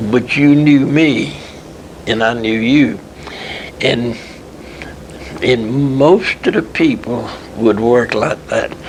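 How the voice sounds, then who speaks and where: A man talks at a very slow pace, leaving long and frequent pauses. His pitch sits in the middle range with ordinary variation, and background noise is noticeable. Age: 80s+. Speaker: retired textile machinery businessman. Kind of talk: interview answer.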